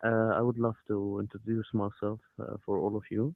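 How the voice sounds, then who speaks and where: A man speaks with an Arabic accent. His intonation stays fairly even. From Egypt. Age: 20s. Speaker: navy officer. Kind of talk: self-introduction. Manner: halting.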